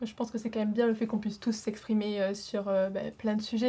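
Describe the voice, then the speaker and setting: Somewhat breathy and monotone, a woman with a fairly high pitch speaks in a dark, mellow tone with flat intonation. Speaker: student. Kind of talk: podcast discussion.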